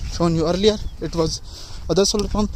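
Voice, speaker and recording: A man with a non-native accent and fairly even intonation against noticeable background noise. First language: not English. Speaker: farmer vlogger. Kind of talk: casual vlog narration. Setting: outdoors in fields. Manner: halting.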